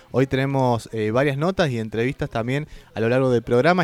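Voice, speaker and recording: With a dry, close sound and no echo, a man has an ordinary speaking voice and talks at a fairly quick pace. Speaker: community radio host. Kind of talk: casual radio chat.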